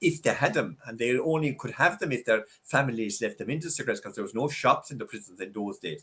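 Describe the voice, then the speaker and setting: In a Tipperary accent, a man speaks at a very fast pace with lively intonation. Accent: Irish (Tipperary). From Ireland, west Tipperary. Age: 70s. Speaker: former prison governor. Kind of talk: interview conversation. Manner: halting, many fillers.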